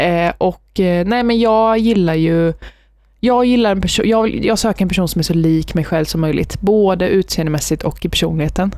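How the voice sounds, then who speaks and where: A woman speaks at a moderate pace with a medium pitch and a dark, mellow tone, her loudness very even on a very clean recording with a silent background. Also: ordinary pitch variation. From Sweden, Västervik. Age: 20s. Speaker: university student. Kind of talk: casual interview.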